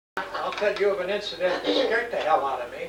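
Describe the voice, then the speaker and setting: A man's voice with ordinary pitch variation and music in the background. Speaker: World War II veteran. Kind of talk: casual storytelling at family gathering. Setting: home, after dinner.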